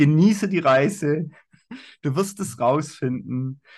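Over a quiet background comes a normal speaking voice with ordinary pitch variation. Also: man. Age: 40s. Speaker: life coach and corporate trainer. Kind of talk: casual interview. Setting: video call.

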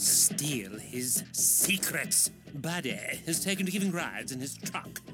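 With music in the background, a man speaks fairly slowly at a high pitch, his voice showing very wide pitch swings. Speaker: mysterious stranger in an animated show. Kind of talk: formal, elaborate wording. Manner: haughty, condescending.

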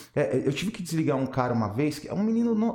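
With lively intonation, a man talks at a high pitch and a very fast pace. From São Paulo, Brazil. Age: 30s. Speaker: former banker, independent financial agent. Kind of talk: casual interview chat.

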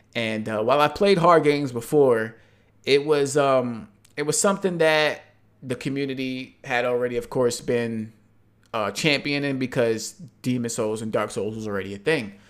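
A man with an unremarkable speaking voice talks at a moderate pace in a medium pitch with ordinary pitch variation, on a very clean recording with a silent background. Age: 20s. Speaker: gamer and YouTube content creator. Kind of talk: casual chat.

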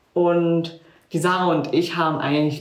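A woman at a moderate pace in a monotone, flat intonation, with music in the background and audible room echo. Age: 20s. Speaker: social work student. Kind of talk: casual chat.

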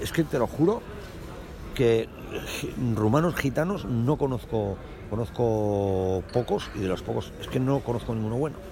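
A man at a fairly slow pace, with long, frequent pauses, ordinary pitch variation and noticeable background noise. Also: medium pitch for a man. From Spain, Aragon (Calatayud near Zaragoza). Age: 40s. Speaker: aspiring comedian. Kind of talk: casual interview.

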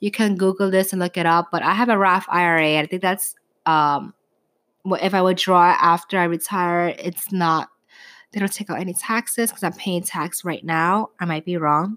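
In a New York accent, a woman talks at a moderate pace with an animated tone, recorded very cleanly against a silent background. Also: medium pitch for a woman, dry, close sound with no echo. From New York City. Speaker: podcast host. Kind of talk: casual chat.

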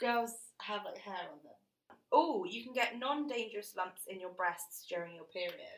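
Very wide pitch swings at a moderate pace, with a British accent. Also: woman, fairly high pitch for a woman, big swings in loudness. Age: 20s. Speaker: podcast co-host. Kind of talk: casual chat. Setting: studio, recording in person.

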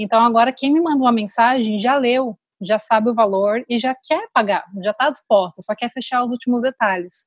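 A woman speaks in a plain, everyday voice at a moderate pace, with a fairly high pitch and ordinary pitch variation. She barely pauses, and the sound is dry and close with no echo. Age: 30s. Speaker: photographer. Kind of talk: casual interview.

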